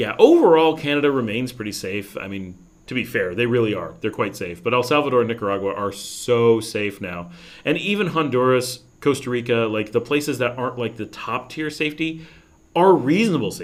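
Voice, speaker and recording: With an American accent, a man at medium pitch speaks at a fairly quick pace with lively intonation. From New York state, US. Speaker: expat YouTuber answering live chat. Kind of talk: casual livestream Q&A. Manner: hesitant, many fillers and restarts.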